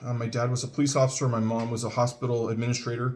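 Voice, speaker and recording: Speaking at a very fast pace, a man with an American accent uses a medium pitch, a somewhat breathy quality and fairly even intonation. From Northern California (Richmond). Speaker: 911 dispatch center manager introducing himself. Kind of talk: casual video introduction. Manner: hesitant with many fillers.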